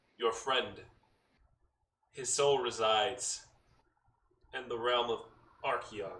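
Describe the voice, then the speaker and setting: Putting on a booming, resonant character voice at a medium pitch, a man talks fairly slowly with long, frequent pauses and a slight echo. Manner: booming, imposing.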